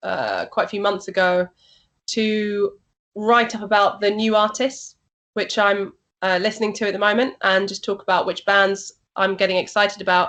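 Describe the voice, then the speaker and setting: Against a quiet background, a woman speaks at a medium pitch in a Yorkshire accent. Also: fairly even intonation, moderate pace. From Yorkshire, northern England. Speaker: rock and metal radio and TV presenter. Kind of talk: interview. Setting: video call.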